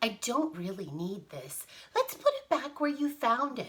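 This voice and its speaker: A woman puts on a character voice pitched high. She keeps a moderate pace while her loudness swings widely. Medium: read story.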